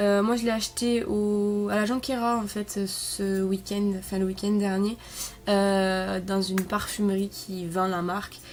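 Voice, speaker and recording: A woman's very slow, monotone speech with flat intonation. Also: medium pitch for a woman. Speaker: beauty vlogger. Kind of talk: product review. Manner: hesitant, many fillers.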